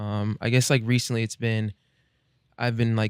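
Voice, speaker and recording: With an American accent, a man speaks at a medium pitch in dry, close sound with no echo. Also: very clean recording, silent background. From Omaha, Nebraska, US Midwest. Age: 20s. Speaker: singer-songwriter. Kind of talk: interview. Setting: studio. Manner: halting.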